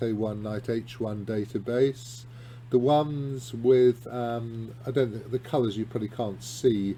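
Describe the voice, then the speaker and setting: At a very slow pace, a man speaks with a somewhat breathy, dark and mellow tone, a medium pitch and monotone, flat intonation. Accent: British. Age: 60s. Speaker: chess columnist and grandmaster. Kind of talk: video lesson on chess games. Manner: hesitant, lots of ums and restarts.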